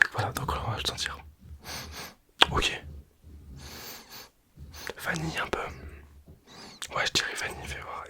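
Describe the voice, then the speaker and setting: A man whispering at a fairly slow pace, with long, frequent pauses and noticeable background noise. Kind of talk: ASMR product presentation. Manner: whispered, soft-spoken; casual, chatty.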